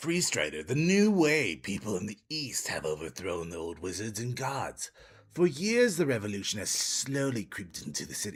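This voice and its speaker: In a put-on character voice, the speaker sounds strained at a moderate pace, with very wide pitch swings and big swings in loudness. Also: man, medium pitch for a man. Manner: strained, put-on, hard to sustain.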